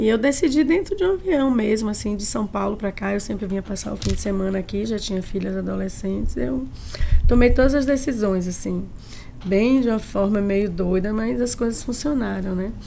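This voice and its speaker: A woman speaks at medium pitch and a moderate pace, with lively intonation. The room echoes audibly, and there is noticeable background noise. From Bahia, Brazil (Tanquinho, countryside). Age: 60s. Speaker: chef. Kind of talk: podcast interview.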